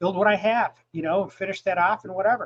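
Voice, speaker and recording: A man talks at a high pitch. His intonation stays fairly even. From upstate New York. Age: 60s. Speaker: drag racer and former ER worker. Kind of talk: casual chat.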